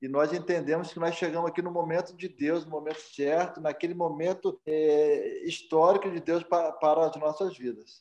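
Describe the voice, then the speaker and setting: A high-pitched man's voice in a flat monotone, with hardly any pauses. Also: moderate pace. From Cordeiro, Rio de Janeiro state mountain region, Brazil. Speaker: missionary pastor. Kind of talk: interview.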